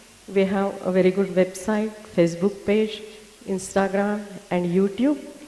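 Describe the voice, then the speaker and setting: A woman at medium pitch, with noticeable background noise. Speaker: patient advocate and doctor. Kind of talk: conference presentation. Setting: symposium with audience.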